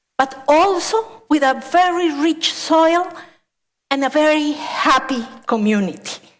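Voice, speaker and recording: Speaking very slowly with a Spanish accent, a woman uses a high pitch and lively intonation. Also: very even loudness. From Colombia, coffee region. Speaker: landscape architect. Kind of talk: conference talk.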